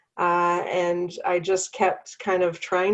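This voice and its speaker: This woman speaks with a Canadian accent. Her pitch sits in the medium range. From Canada. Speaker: founder of a parenting community, working mother. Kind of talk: interview. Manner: hesitant, many fillers.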